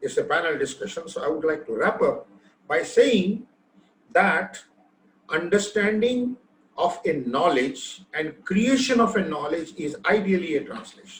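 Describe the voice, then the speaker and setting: A man with an Indian accent, high-pitched, at a fairly slow pace with lively intonation. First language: Hindi. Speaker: machine translation technologist. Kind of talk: panel discussion.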